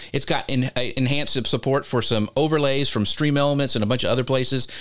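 A normal speaking voice, fairly high pitched, carries a man's words at a fairly quick pace. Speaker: podcast host. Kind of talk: live show conversation. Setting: live broadcast.

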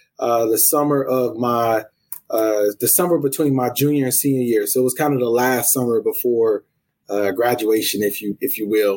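An unremarkable speaking voice comes from a man with an American accent and a medium pitch. He talks at a moderate pace with very even loudness and fairly even intonation. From US South, South Carolina (Columbia). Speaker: college athletics administrator. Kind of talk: interview. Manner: frequent fillers (um, uh).

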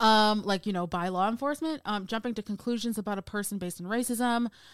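A woman with an ordinary speaking voice talks at a fairly high pitch with ordinary pitch variation. The recording is very clean, with a silent background. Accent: American. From United States. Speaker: podcast host and film producer. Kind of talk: casual chat; scripted narration.

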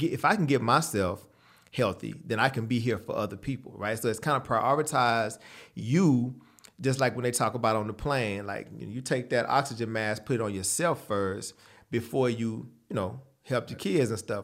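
In a very clean recording with a silent background, a man with an American accent and an ordinary speaking voice talks at a moderate pace, with a medium pitch and ordinary pitch variation. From Texas, San Antonio. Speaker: dietitian and gym owner. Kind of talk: interview.

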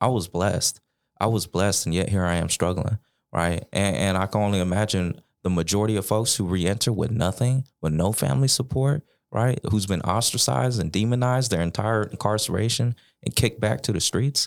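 An ordinary speaking voice with an American accent, lively intonation, very even loudness and a fairly quick pace, on a very clean recording with a silent background. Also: man, fairly low pitch for a man. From Sacramento, California. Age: 20s. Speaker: formerly incarcerated podcaster and policy fellow. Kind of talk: interview. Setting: in person.

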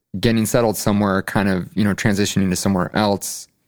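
With an American accent, a man speaks in a normal speaking voice, fairly low in pitch and fairly even in intonation. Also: very clean recording, silent background. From Chicago suburbs, Illinois. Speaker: concert promoter. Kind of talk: casual interview. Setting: studio.

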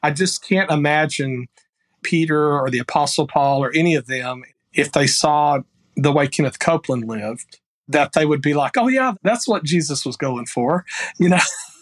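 With a Texan accent, the voice moves at a moderate pace in a dry, close sound with no echo. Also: man, fairly high pitch for a man, ordinary pitch variation. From rural Texas. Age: 50s. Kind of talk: casual chat.

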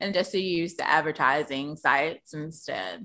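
Against a quiet background, a woman with a bright, sharp tone speaks at a moderate pace with ordinary pitch variation. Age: 30s. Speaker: sex worker and podcaster. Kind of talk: casual chat.

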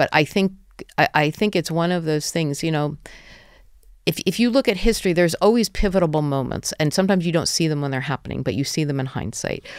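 A woman with a New Jersey accent talks at a very fast pace, her pitch fairly low and her intonation lively. The recording is very clean, with a silent background. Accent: American, New Jersey. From US, New Jersey. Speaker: venture capital investor. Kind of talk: podcast interview. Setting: studio.

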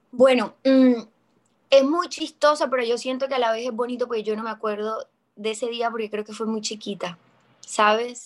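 Fairly high in pitch, a woman speaks in an unremarkable speaking voice. Her pace is moderate and her intonation fairly even. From Colombia. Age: 20s. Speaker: actress. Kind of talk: interview testimony.

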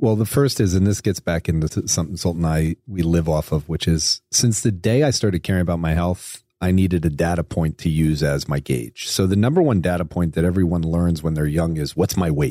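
Very deep and low, a man's dark, mellow voice comes at a fairly quick pace with very even loudness, ordinary pitch variation and a dry, close sound with no echo. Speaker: podcast co-host. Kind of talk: casual chat.

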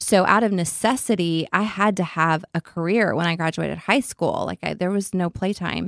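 This woman talks in a West Texas accent at a medium pitch and moderate pace, with ordinary pitch variation. The recording is very clean, with a silent background and a dry, close sound with no echo. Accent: West Texas Southern US. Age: 40s. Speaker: beauty entrepreneur. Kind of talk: interview. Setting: studio.

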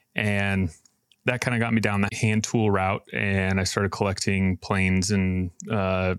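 A man with an American accent speaks at a fairly low pitch in a monotone, flat way. The recording is very clean and dry, close with no echo, over a silent background. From Idaho. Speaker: furniture maker and business owner. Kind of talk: interview.

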